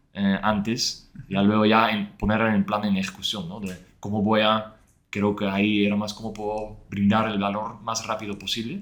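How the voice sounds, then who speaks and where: In a Dutch accent, a man talks at a moderate pace with a fairly low pitch and monotone, flat intonation. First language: Dutch (speaking Spanish). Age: 30s. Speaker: former head of growth. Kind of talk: interview. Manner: halting.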